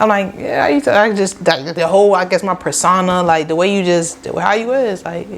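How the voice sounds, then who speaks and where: With an American accent, the speaker moves at a fairly quick pace with hardly any pauses. Pitch variation is ordinary, and there is noticeable background noise. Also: woman, medium pitch for a woman. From Rochester, upstate New York. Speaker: small business owner, lash artist. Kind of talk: casual podcast interview.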